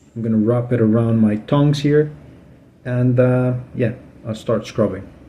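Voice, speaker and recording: At a fairly slow pace, a man speaks in a medium pitch with a dark, mellow tone and fairly even intonation. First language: Spanish. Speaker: aquarium hobbyist. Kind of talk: tutorial. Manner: halting, many fillers; casual.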